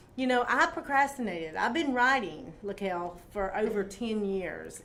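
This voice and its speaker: A woman speaks in a normal speaking voice at a fairly slow pace. Her intonation is lively. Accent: American. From South Carolina, Greenville. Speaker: author and talk show host. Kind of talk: interview.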